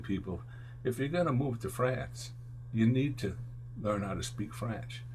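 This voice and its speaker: With an American accent and vocal fry, a man speaks at a moderate pace in a fairly low voice with very wide pitch swings, and room echo is audible. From upstate New York (Albany area). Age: 60s. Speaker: musician and music teacher. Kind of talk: interview. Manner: rambling, halting with fillers.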